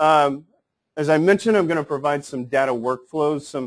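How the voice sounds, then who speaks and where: A normal speaking voice from a man, fairly high in pitch, moderate pace, quiet background. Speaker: technical specialist presenting on building information modeling. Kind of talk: conference presentation.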